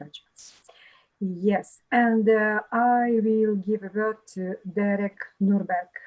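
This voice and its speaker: A woman speaks at a medium pitch. She has a Russian accent. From Russia, Murmansk. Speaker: business association executive. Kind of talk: video meeting introduction. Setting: video call. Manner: halting, many fillers.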